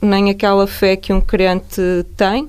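A woman's medium-pitched voice, monotone and flat in intonation, at a fairly slow pace. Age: 40s. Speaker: neuroscientist. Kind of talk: radio interview. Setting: radio studio.

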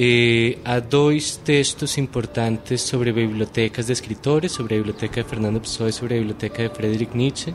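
Over noticeable background noise, a man with a Spanish accent speaks at a medium pitch and a moderate pace. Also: fairly even intonation. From Colombia, Bogotá. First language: Spanish (speaking Portuguese). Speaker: literary researcher. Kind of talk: interview. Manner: mixes Spanish and Portuguese.

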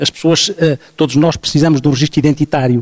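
A man talks at a very fast pace. His pitch sits fairly high, with ordinary variation. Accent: European Portuguese. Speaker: psychologist. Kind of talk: panel discussion. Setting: stage with audience.

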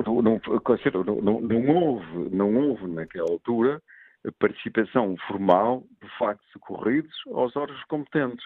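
A man's unremarkable speaking voice at medium pitch, with lively intonation and a fairly slow pace. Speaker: sports disciplinary official. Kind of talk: radio phone-in debate. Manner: formal.

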